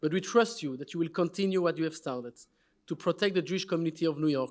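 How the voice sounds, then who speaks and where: A high-pitched man's voice with a French accent and ordinary pitch variation, in a very clean recording with a silent background. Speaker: award presenter at a summit. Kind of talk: award presentation speech.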